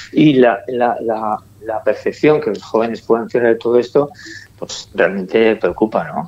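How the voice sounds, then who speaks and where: A plain, everyday voice at a fairly slow pace. Its pitch varies in an ordinary way. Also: man, medium pitch for a man. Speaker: film director. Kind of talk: panel discussion.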